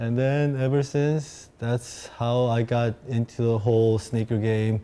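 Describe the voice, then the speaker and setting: In a Korean accent, a man speaks at a medium pitch with a dark, mellow tone and fairly even intonation. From South Korea, moved to Seattle at 13. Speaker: sneaker collector. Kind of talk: casual chat.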